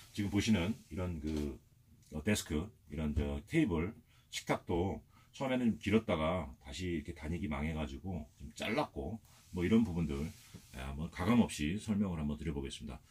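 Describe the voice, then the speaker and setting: With a very deep, low pitch and vocal fry, a man talks at a moderate pace. His intonation is lively, broken by long, frequent pauses. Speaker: motorhome vlogger. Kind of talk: video tour. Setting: inside his motorhome. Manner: hesitant, many fillers.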